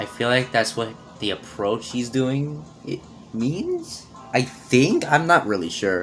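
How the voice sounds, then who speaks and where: With music in the background, a man speaks at a medium pitch and a fairly slow pace, his tone animated and his intonation lively. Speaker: gaming youtuber. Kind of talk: let's play commentary. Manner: halting, self-repeating; casual, animated.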